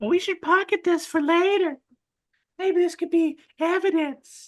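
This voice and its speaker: Putting on a squeaky character voice at an extremely high pitch, a woman speaks at a moderate pace with fairly even intonation. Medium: actual play. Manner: casual, chatty.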